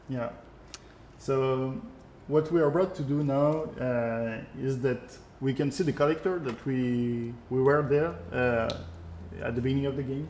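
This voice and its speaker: Speaking with a French accent at a medium pitch, a man goes at a fairly slow pace with ordinary pitch variation and long, frequent pauses. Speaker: video game creative director. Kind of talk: live gameplay stream with Q&A. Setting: live stream. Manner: halting, many filler sounds.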